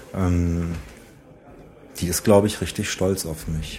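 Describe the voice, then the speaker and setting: A man talks at a very slow pace in a very deep, low pitch. His intonation is monotone and flat. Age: 40s. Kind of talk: interview answers.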